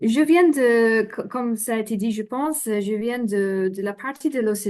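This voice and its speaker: Speaking in a dark, mellow tone, a woman talks with a non-native accent. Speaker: development finance expert. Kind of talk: conference presentation. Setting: remote video link. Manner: halting, many fillers.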